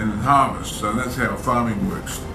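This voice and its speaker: A man speaks at a moderate pace in a medium-pitched voice with ordinary pitch variation. Noticeable background noise can be heard. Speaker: grandfather reading scripture to grandson. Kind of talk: scripture reading with casual commentary.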